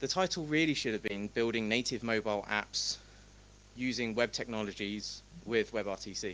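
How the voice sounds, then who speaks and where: A man talks in a fairly low pitch. His pace is moderate, with ordinary pitch variation. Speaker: tech conference speaker, company founder. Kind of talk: conference talk. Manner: animated.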